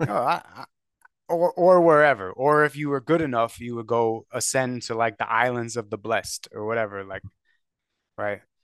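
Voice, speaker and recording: Against a quiet background, a man with a normal speaking voice of medium pitch talks at a moderate pace with ordinary pitch variation and big swings in loudness, the sound dry and close with no echo. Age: 40s. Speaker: podcaster. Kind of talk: casual chat.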